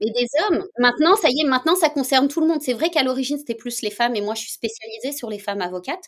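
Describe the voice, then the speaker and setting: A woman speaks at a very fast pace with hardly any pauses. Her high-pitched voice has lively intonation and an animated tone. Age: 40s. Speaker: lawyer and wellness coach. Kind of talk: interview.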